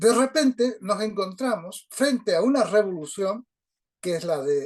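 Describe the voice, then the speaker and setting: A man's high-pitched voice at a fairly slow pace, with lively intonation. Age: 80s+. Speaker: reading group participant. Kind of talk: discussion group talk. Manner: halting.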